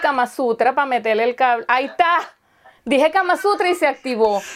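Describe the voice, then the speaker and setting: The speaker keeps a moderate pace with lively intonation. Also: woman. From Venezuela. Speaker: video chat host, self-employed. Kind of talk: casual chat. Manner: animated.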